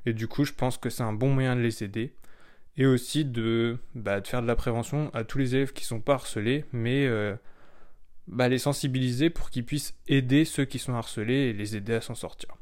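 At a moderate pace and with fairly even intonation, an unremarkable speaking voice comes through on a very clean recording with a silent background. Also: man, medium pitch for a man. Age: 20s. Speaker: blogger. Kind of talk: solo podcast monologue. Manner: relaxed.

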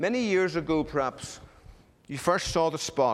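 A man is speaking. He has an Irish accent. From Ireland. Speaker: pastor. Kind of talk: sermon.

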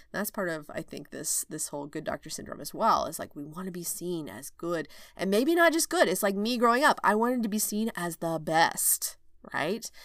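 Over a very clean recording with a silent background, a woman with a medium pitch and a slight Southern US accent speaks at a moderate pace, her pitch swinging very widely and her loudness shifting a lot. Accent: slight Southern twang. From Oklahoma, rural. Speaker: OB/GYN physician and coach, podcast host. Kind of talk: solo podcast monologue. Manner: casual, laughing often.

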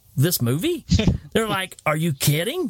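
An animated man in a Southern US accent, his pitch fairly high. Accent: Southern US, noticeable. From Tennessee. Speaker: movie podcast host. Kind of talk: casual chat.

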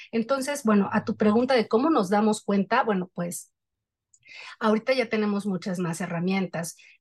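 A woman's fairly high, somewhat breathy voice with ordinary pitch variation. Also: moderate pace. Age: 40s. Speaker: journalist. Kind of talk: casual chat.

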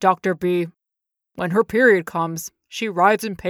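A female-sounding voice performs a put-on character. It sits at a middle pitch and moves at a moderate pace. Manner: deadpan, repeating.

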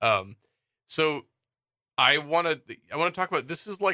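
A man's bright, sharp voice at a fairly quick pace, dry and close with no echo. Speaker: podcast co-host. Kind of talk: casual chat.

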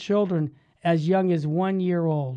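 At moderate speed, a man talks in a dark, mellow tone. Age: 60s. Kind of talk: religious talk show. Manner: animated.

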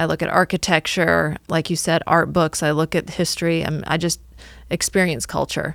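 At a moderate pace, the voice carries vocal fry and monotone, flat intonation, on a very clean recording with a silent background and a dry, close sound with no echo. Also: woman, fairly low pitch for a woman. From US Midwest, northwest Illinois. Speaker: marketing agency owner. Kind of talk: interview. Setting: studio.

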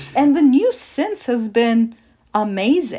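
Speaking fairly slowly with a Turkish accent and ordinary pitch variation, this voice comes through a very clean recording with a silent background. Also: woman. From Turkey. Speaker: sociologist. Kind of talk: interview.

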